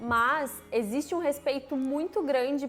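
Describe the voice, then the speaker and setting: Music plays behind a voice with ordinary pitch variation. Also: woman. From Brazil. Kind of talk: casual talk to camera.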